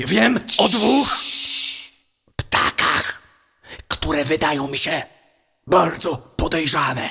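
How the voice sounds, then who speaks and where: A man's fairly high voice with very wide pitch swings, a very slow pace, and long, frequent pauses. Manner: bumbling, conspiratorial.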